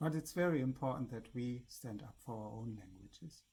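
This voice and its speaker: Speaking at a moderate pace with a German accent, this man has a dark, mellow tone and vocal fry. His pitch varies in an ordinary way. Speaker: spiritual vlogger. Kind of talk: casual monologue to camera.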